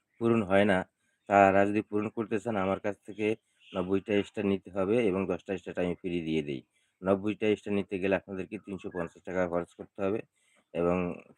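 This man's voice sits fairly low, his intonation fairly even. The sound is close and dry without echo, over a quiet background. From Bangladesh, Rangpur. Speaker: social media monetization YouTuber. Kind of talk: live stream talk to viewers.

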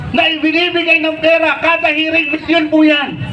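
Noticeable background noise behind a man's raised, projected voice, extremely high in pitch, at a fairly slow pace. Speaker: senatorial candidate. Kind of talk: rally speech. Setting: outdoor rally with crowd. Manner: animated.

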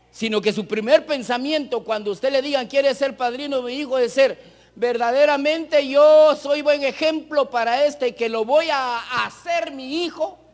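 Against a quiet background, a man with an extremely high pitch talks fairly slowly, using ordinary pitch variation. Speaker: preacher. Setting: church with congregation, broadcast on radio. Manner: earnest, exhorting, direct appeals to 'amados hermanos' with rhetorical questions; measured, pausing to repeat phrases for emphasis. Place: hall.

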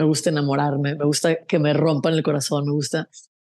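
A woman against a quiet background. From Mexico, San José del Cabo, Baja California Sur; Baja California Sur, Mexico. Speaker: singer-songwriter; interviewee. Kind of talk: casual interview. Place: home room. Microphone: earbuds.

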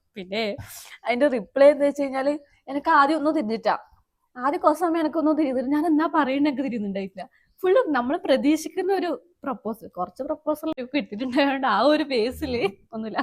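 Her high voice moving with lively intonation, a woman is speaking. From Kerala, Kasaragod district. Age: 20s. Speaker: YouTube vlogger. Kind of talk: casual chat. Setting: outdoors.

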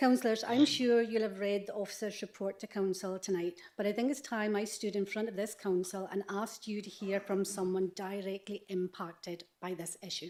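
A woman's medium-pitched voice with a Scottish accent, fairly even intonation, a moderate pace and hardly any pauses. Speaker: member of the public making a deputation. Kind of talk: prepared statement at council meeting. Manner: formal.

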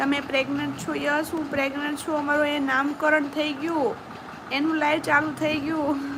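A woman speaks in a high voice with monotone, flat intonation. Noticeable background noise and audible room echo fill the recording. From Gujarat, Saurashtra (Palitana area). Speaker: YouTube vlogger. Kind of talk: live stream chat with viewers.

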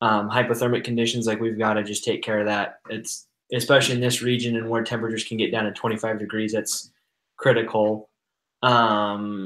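A man's fairly quick, monotone and flat delivery over a quiet background. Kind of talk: group discussion explanation. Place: home room.

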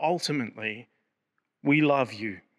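Against a quiet background, a man with an Australian accent talks at a fairly slow pace, his fairly high pitch carrying a bright, sharp tone. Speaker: prayer leader. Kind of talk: fervent prayer. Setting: church service video. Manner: earnest; solemn and reverent. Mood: calm, earnest, reverent. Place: church. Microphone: podium.

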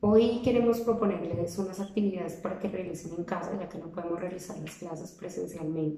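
Fairly low in pitch, a woman talks at a fairly quick pace with hardly any pauses, ordinary pitch variation and big swings in loudness. There is audible room echo and light background noise. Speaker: theater teacher. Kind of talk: instructional talk to parents. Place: home room. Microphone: phone near.

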